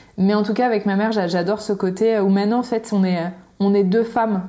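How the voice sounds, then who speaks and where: A woman with a medium pitch and a dark, mellow tone speaks at a moderate pace with fairly even intonation. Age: 30s. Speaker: cosmetics entrepreneur and content creator. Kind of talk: interview. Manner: halting.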